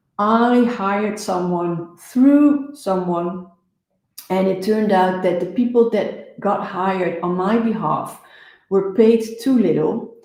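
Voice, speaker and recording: Her accent is Dutch, and her tone is dark and mellow. The woman talks very slowly at a medium pitch with ordinary pitch variation. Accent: non-native English, Dutch. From Netherlands. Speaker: business coach. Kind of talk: live show talk.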